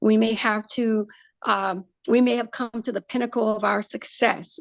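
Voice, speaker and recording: The sound is dry and close, with no echo. A woman talks at a moderate pace in a fairly high pitch with ordinary variation. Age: 60s. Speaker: breast cancer surgeon. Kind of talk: podcast interview. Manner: halting.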